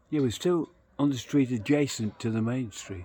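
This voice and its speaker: Somewhat breathy, a man with an English accent speaks at a moderate pace. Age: 60s. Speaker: travel vlogger. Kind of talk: casual vlog narration. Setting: outdoors on a street at night. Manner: rambling, chatty.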